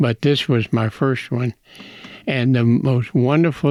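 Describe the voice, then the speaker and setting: Speech comes at a very slow pace in an American accent. The intonation stays fairly even. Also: man. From Texas. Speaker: podcast guest, host's grandfather. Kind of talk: storytelling in casual chat.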